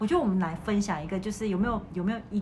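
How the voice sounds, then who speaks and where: A woman's mid-pitched voice carries audible echo from the room. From Malaysia. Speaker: podcast host, teacher. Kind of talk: casual chat.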